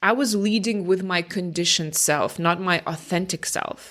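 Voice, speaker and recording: A woman with a non-native accent speaks at a moderate pace, her pitch fairly low with ordinary variation. Her tone is bright and sharp. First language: not English. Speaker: career change coach, podcast host. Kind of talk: podcast monologue. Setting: home recording, early morning. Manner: casual, conversational.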